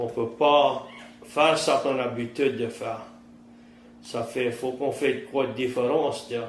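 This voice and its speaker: Medium-pitched male speech in a Cajun accent, fairly slow, broken by long, frequent pauses. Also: ordinary pitch variation. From Terrebonne Parish, Louisiana. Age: 50s. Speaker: fisherman and trapper. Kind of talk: interview answer.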